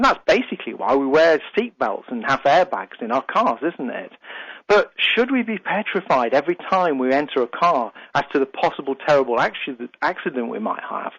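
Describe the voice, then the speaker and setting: This man has a British accent and a fairly high pitch, with lively intonation at a moderate pace. The sound is dry and close, with no echo. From UK. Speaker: radio host and life coach. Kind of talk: radio talk show monologue. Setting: radio studio.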